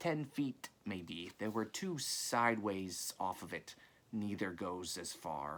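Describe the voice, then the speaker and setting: A man puts on a character voice at a fairly low pitch, speaking at a fairly slow pace with hissing. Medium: read story. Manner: wary, probing.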